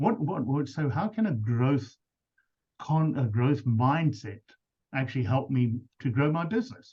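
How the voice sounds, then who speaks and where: A man with a South African accent, fairly high in pitch, somewhat breathy, with a dark, mellow tone, at a fairly slow pace with lively intonation and long, frequent pauses. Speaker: business coach. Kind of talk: webinar presentation.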